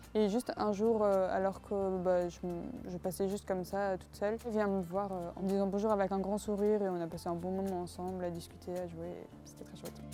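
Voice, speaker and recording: The speech moves at a fairly quick pace. Hardly any pauses break it up. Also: woman. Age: 20s. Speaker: student. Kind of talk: testimony. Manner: hesitant, many filler words.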